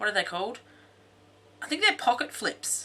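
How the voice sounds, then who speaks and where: Very wide pitch swings and a bright, sharp tone mark a woman speaking with an Australian accent. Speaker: craft vlogger. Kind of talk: craft tutorial. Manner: casual, with many fillers.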